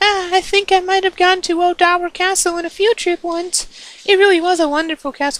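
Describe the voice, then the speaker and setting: Squeaky and extremely high-pitched, this put-on character voice moves at a fairly quick pace. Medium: solo performance. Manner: soft-spoken, deferential.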